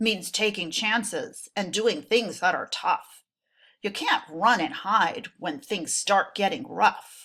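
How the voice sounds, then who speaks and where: A female-sounding voice does a put-on character voice at a fairly high pitch and fairly slow pace. The recording is very clean with a silent background. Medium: read story. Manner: gruff, sleepy.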